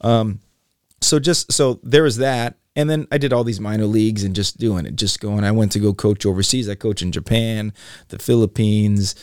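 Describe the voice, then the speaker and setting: A man with an American accent talks at a moderate pace with ordinary pitch variation, in a dry, close sound with no echo and a very clean recording against a silent background. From Los Angeles. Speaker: basketball coach and leadership speaker. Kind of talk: interview. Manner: high energy.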